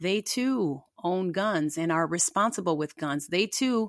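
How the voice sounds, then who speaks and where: On a very clean recording with a silent background, a woman with a General American accent is heard in a dry, close sound with no echo. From United States. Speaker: political commentator podcast host. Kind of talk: angry political rant, impassioned monologue. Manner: emphatic, fired up, indignant, repeating words for force.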